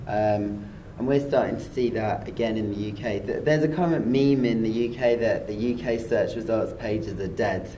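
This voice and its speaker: A man in a British accent, medium-pitched, hardly any pauses, with audible room echo. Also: ordinary pitch variation, moderate pace. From UK. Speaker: SEO expert, site director. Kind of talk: interview. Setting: conference.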